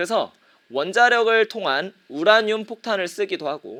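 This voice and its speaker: A man projects a raised voice at a moderate pace. His tone is bright and sharp. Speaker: middle school teacher. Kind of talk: online lecture. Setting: live-streamed class broadcast.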